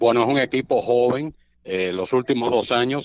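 In a plain, everyday voice, a man speaks at a fairly slow pace with fairly even intonation. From Cuba. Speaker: baseball radio play-by-play announcer. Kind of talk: casual interview chat.

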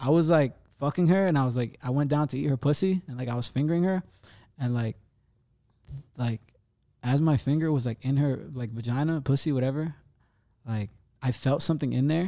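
A man with an American accent speaks in a fairly high, dark, mellow voice with ordinary pitch variation. His pace is fairly quick, broken by long, frequent pauses. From New Jersey. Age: 20s. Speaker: rapper. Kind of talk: casual chat. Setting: studio.

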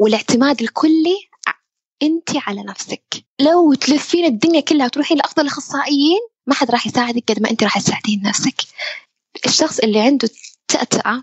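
At a fairly quick pace, a woman with a high pitch speaks with lively intonation. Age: 20s. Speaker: university student and stuttering awareness advocate. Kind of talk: interview. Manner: repetitions and hesitations.

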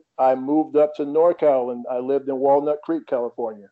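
In an American accent, a man speaks with a plain, everyday voice at a moderate pace. His pitch is fairly high and his intonation fairly even. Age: 40s. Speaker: tennis coach. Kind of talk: interview.

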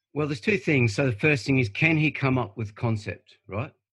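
A man with an Australian accent, somewhat breathy, at a fairly quick pace with ordinary pitch variation. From Australia, Bribie Island, Queensland. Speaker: surf writer. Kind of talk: casual chat. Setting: video call.

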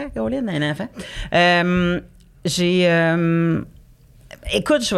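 This woman has a normal speaking voice with fairly low pitch. Her pitch varies in an ordinary way. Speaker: comedian. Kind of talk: casual chat.

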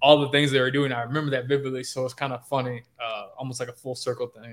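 Here a man talks at a very fast pace. He has a fairly high voice and an American accent. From Chicago. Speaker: sports beat writer. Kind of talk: podcast interview.

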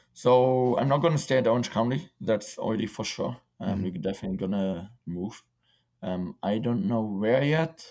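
With a German accent, a man speaks at a moderate pace and medium pitch. His tone is dark and mellow, and his intonation is lively. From Germany and Czech Republic. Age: 20s. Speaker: professional footballer. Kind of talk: casual interview.

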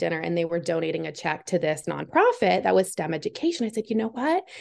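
A woman speaks at a very fast pace with an American accent. Her medium-pitched voice carries vocal fry. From Massachusetts. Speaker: football coach's wife, engineer, author. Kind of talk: interview. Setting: video call.

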